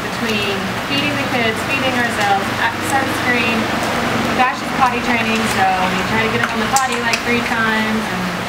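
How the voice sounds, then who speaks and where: Loud background noise fills the recording. A woman talks over it at a moderate pace. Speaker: parent travel vlogger. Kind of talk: casual vlog chat. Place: home room. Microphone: camera far.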